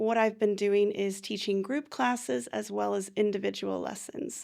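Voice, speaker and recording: An unremarkable speaking voice from a woman with an American accent, fairly high in pitch with lively intonation at a moderate pace, on a very clean recording with a silent background. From United States. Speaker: English teacher. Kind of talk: interview.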